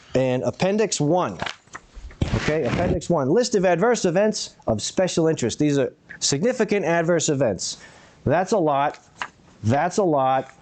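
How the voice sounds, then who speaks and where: Over noticeable background noise, a high-pitched man speaks with very even loudness and long, frequent pauses. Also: lively intonation. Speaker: public commenter. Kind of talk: public comment. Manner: fast.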